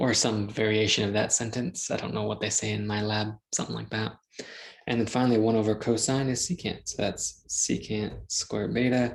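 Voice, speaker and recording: Fairly low in pitch, a man talks in an ordinary speaking voice. He moves at a fairly quick pace with fairly even intonation. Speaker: math teacher. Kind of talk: lecture. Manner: casual, thinking aloud.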